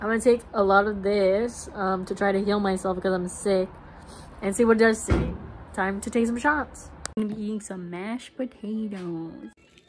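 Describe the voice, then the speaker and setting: A woman with fairly even intonation and music in the background. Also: moderate pace. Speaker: vlogger caring for a friend. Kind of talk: casual vlog chat.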